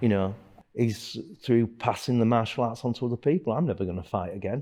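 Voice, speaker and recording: With a Yorkshire accent and a dark, mellow tone, the speaker moves at a fairly quick pace. Pitch variation is ordinary, and the recording is very clean with a silent background. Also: man. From northern England, Leeds, Yorkshire. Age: 60s. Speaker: martial arts instructor. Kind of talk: documentary interview. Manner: casual, halting with fillers.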